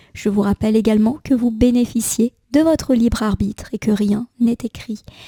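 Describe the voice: Her dark, mellow tone sits at a fairly high pitch, with ordinary pitch variation and a moderate pace, in a dry, close sound with no echo.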